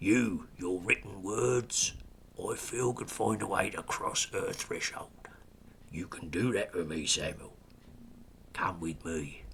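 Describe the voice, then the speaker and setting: A man's raspy, put-on character voice at a fairly slow pace, with long, frequent pauses and light background noise. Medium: read story. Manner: smooth, amused, commanding.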